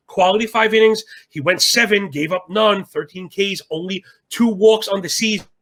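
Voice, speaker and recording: A man's raised, projected voice, animated and bright and sharp in tone. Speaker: sports betting analyst. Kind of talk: sports betting discussion. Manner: fast.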